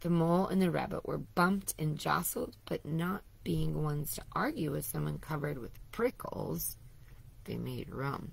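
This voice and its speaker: A woman puts on a raspy character voice and speaks at a moderate pace. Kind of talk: bedtime story. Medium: read story. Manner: warm, gentle, unhurried.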